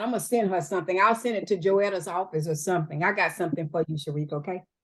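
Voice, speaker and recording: A woman speaks at a very fast pace in a Southern US accent. Her tone is animated. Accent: Southern US (Georgia). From US South, Georgia (Albany). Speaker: real estate broker and mentor. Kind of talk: training talk.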